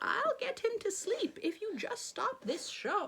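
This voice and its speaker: A female-sounding put-on character voice, squeaky and extremely high-pitched, moves at a fairly slow pace. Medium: read story. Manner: gentle, assured.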